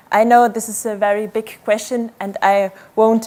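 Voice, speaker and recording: Speaking fairly slowly, a woman with a fairly high pitch keeps a monotone, flat intonation. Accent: non-native. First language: not English. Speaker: academic researcher. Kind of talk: conference talk.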